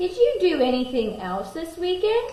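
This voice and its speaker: A woman's put-on character voice, squeaky and extremely high-pitched, with very wide pitch swings, a moderate pace and a slight echo. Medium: read story. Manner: gentle, warm.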